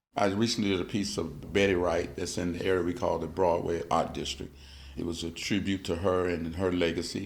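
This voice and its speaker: A man's very deep, low voice at a fairly quick pace, with ordinary pitch variation and audible room echo. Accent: American. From US South, Georgia Sea Islands. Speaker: artist and muralist. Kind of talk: interview.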